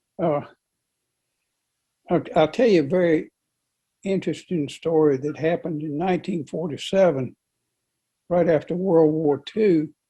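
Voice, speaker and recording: With a North Carolina accent, this speaker uses a dark, mellow tone at a moderate pace, with ordinary pitch variation and long, frequent pauses. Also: man, fairly high pitch for a man. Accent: Southern US (North Carolina). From US South, Rockingham County, North Carolina. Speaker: local resident interviewee. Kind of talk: interview, personal reminiscence. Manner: halting, repeats words.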